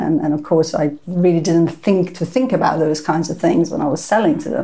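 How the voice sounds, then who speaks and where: This woman has a fairly low pitch and a dark, mellow tone. She talks at a fairly quick pace with ordinary pitch variation. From Iran, moved to UK at 14. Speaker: entrepreneur and angel investor. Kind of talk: interview.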